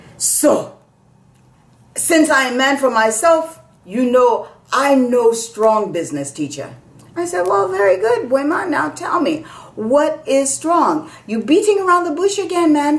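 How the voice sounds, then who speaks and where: With an American accent, a woman speaks at a fairly slow pace in a high voice that swings very widely in pitch. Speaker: storyteller. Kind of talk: storytelling performance.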